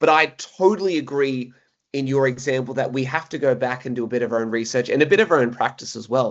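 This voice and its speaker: A man speaks with an Australian accent. He goes at a very fast pace. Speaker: podcast host, PE teacher. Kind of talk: podcast interview.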